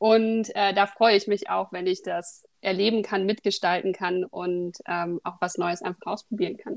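Delivered with hardly any pauses and fairly even intonation, this is an ordinary speaking voice. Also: woman, medium pitch for a woman. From Berlin, Germany. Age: 30s. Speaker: podcast co-host, doctoral researcher. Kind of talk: casual chat.

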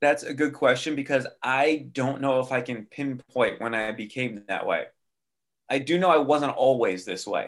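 With a plain, everyday voice, a man talks at a moderate pace, his pitch medium and its variation ordinary. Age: 40s. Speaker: music industry veteran, martial artist and cancer survivor. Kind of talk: interview conversation.

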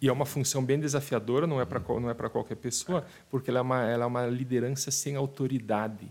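Speaking at a very fast pace with hardly any pauses, a man holds a very even loudness and fairly even intonation at a medium pitch. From Rio Grande do Sul, Brazil (Passo Fundo area). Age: 40s. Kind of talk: casual interview chat. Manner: halting, repeats words.

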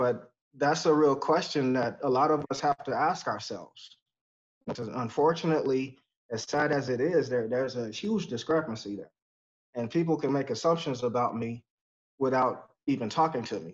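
A man with a plain, everyday voice and an American accent speaks at a moderate pace with ordinary pitch variation. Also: medium pitch for a man. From Texas. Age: 40s. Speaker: podcast guest. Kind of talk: casual interview chat.

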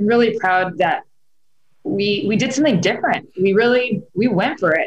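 A woman with a Californian accent and ordinary pitch variation. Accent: Californian American. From Southern California. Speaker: actress and film producer. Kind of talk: interview conversation.

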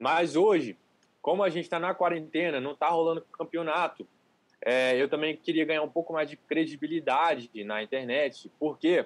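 A man's unremarkable speaking voice, fairly high in pitch, with ordinary pitch variation and a moderate pace. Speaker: calisthenics youtuber. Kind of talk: casual chat. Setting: livestream.

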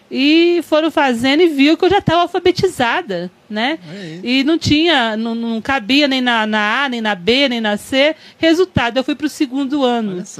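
A woman talks at a moderate pace in a high voice. Her intonation is lively. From Franca, São Paulo state, Brazil. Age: 50s. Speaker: city councillor and history teacher. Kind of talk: podcast interview.

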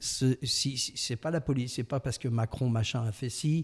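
Here a man of medium pitch talks at a moderate pace. His voice is somewhat breathy, and the recording is very clean with a silent background. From southwest France, Landes coast. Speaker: voice actor. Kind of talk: interview.

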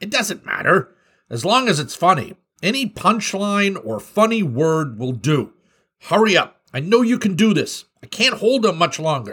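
A man puts on a character voice pitched high. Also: moderate pace. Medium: read story. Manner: urgent, then warm and joking.

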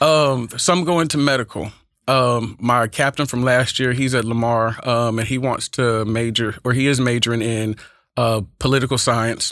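A man's medium-pitched voice with an American accent, at a moderate pace, on a very clean recording with a silent background. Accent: Texas twang with Oakland flavor. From California, later Texas. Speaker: high school speech and debate teacher. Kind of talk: casual interview. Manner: animated.

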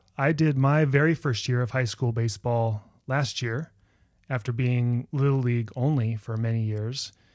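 A man at a medium pitch and a moderate pace. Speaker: podcast host. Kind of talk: interview conversation, friendly. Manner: warm, enthusiastic.

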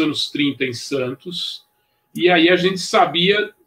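Here a man speaks at a very slow pace. His high pitch carries lively intonation. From São Paulo city, Brazil. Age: 60s. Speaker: surf journalist and historian. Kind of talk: live podcast discussion.

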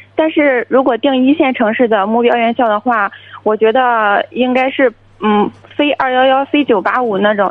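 Her pitch high and its variation ordinary, a woman talks at a fairly slow pace. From Shandong. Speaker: university student, caller. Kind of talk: call-in advice conversation.

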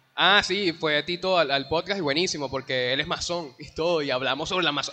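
Noticeable background noise fills the recording. A man speaks very fast over it. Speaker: podcast host. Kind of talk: casual chat. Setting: live stream in a shopping mall.

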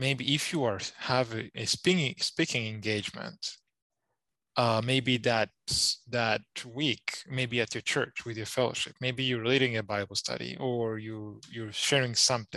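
Speaking with a non-native accent at a fairly slow pace, a man uses a medium pitch, fairly even intonation and a bright, sharp tone, recorded dry and close with no echo against a quiet background. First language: not English. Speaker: Bible student, podcast co-host. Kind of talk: casual chat. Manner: halting.

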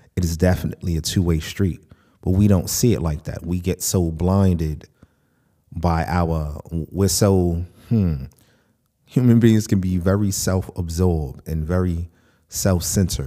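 In an American accent, the voice has a dark, mellow tone and ordinary pitch variation, recorded very clean against a silent background. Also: man, very deep, low pitch for a man, fairly slow pace. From United States. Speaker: podcast host. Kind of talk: monologue podcast.

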